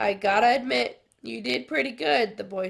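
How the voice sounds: Quiet surroundings frame a natural reading voice.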